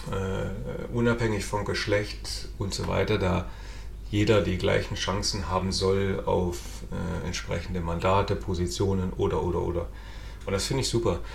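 The recording of a man carries audible room echo and noticeable background noise. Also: moderate pace. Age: 30s. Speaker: podcast host and local politician. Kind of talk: casual political interview podcast.

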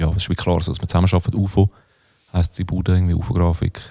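A man with a dark, mellow tone speaks at a very deep, low pitch, the sound dry and close with no echo. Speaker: rapper. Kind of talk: casual chat.

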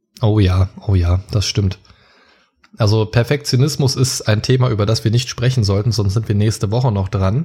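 A man with a normal speaking voice talks at a moderate pace, fairly low in pitch, with ordinary pitch variation and very even loudness. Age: 30s. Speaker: podcaster and childcare educator. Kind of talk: casual interview.

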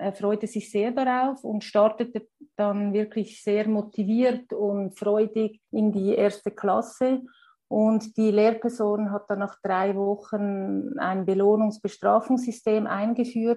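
A woman with a Swiss German accent speaks very slowly at a fairly high pitch. Her tone is dark and mellow, and her intonation stays monotone and flat. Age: 40s. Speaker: primary school teacher and parent. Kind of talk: interview. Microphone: poor sound quality, especially early on.

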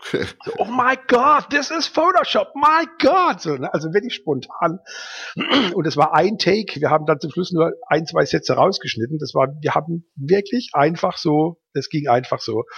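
A man with a high voice keeps a moderate speed as his pitch swings very widely. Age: 50s. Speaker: advertising agency owner and photographer. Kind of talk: casual interview. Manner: hesitant, many filler sounds.

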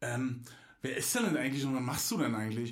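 A man talks in an animated tone, with audible room echo and noticeable background noise. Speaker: podcast host. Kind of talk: casual chat.

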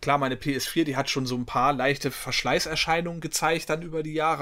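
A man with a plain, everyday voice, fairly quick pace and ordinary pitch variation. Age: 40s. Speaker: gaming podcast co-host. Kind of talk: casual chat.

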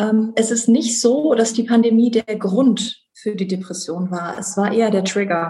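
A woman talks with an unremarkable speaking voice. Her pitch variation is ordinary. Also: fairly high pitch for a woman, fairly slow pace. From Rhineland, Germany (Bonn). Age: 30s. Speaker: conference interpreter sharing her depression story. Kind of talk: personal testimony interview. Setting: video call.

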